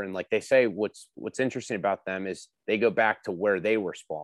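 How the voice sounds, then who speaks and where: A man with an unremarkable speaking voice talks at a fairly low pitch and a moderate pace with ordinary pitch variation, in a dry, close sound with no echo on a very clean recording with a silent background. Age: 30s. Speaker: angler. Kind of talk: casual chat.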